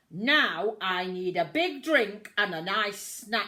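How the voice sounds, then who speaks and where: A female-sounding voice performs a put-on character at a medium pitch, bellowing and growling. The pace is very slow. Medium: read story. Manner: growling, bellowing.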